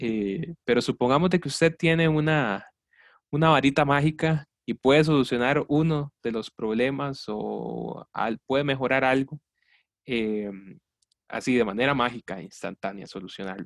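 A man with an unremarkable speaking voice talks at a fairly slow pace in a medium pitch, with ordinary pitch variation and a dry, close sound with no echo. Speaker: student podcast host. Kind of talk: interview. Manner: formal.

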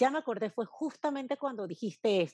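Lively intonation comes through in a dry, close sound with no echo and a quiet background. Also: woman. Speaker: branding consultant. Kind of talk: interview conversation. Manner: forceful, dominant; passionate.

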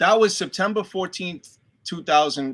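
On a very clean recording with a silent background, a man with a Boston accent speaks with lively intonation. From Boston, Dorchester. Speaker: actor. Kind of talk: casual chat.

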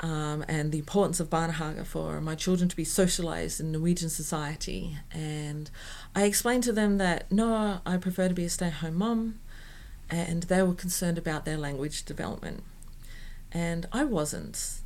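Speaking in an Australian accent, a woman keeps a moderate pace. Her pitch is fairly low, with ordinary variation. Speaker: performing arts professional. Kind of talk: interview conversation. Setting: indoor venue recording.

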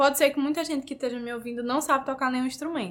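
This is a woman talking. Her pitch sits high. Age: 20s. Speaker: student and orchestra violinist. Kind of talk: interview.

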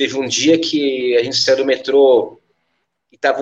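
The speech moves fairly slowly. It is an ordinary speaking voice. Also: man. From São Paulo, south zone (Capão Redondo). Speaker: musician and music school owner. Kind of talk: casual podcast interview. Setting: at his music school.

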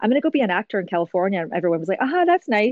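A woman with a Scottish accent. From Scotland. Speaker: voice actor. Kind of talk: interview.

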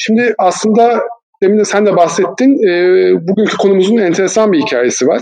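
A man's high-pitched voice at a moderate pace, with ordinary pitch variation and very even loudness. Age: 40s. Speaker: management consultant and trainer. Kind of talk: podcast interview.

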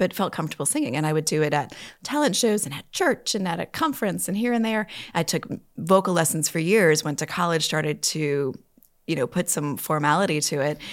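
A woman talks at a fairly quick pace with a fairly low pitch and an ordinary speaking voice. The recording is very clean, with a silent background. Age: 40s. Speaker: actor and producer. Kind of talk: casual interview chat.

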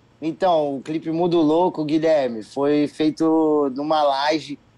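Against a quiet background, a man with a fairly high voice speaks very slowly with fairly even intonation. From Brasília, Brazil. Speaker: singer and musician. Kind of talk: casual interview.

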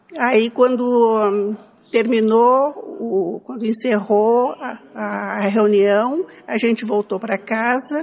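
A woman with a fairly high pitch and ordinary pitch variation talks at a very slow pace. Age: old. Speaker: elderly woman telling her life story. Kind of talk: storytelling.

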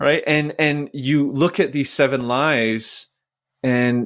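This man has an ordinary speaking voice, a medium pitch and a Canadian accent, with fairly even intonation. The recording is very clean and the background silent. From Vancouver, Canada. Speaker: church minister. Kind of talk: podcast interview.

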